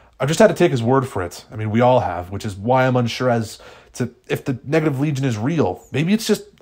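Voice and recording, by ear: Someone reads a text aloud. The delivery is in a natural voice.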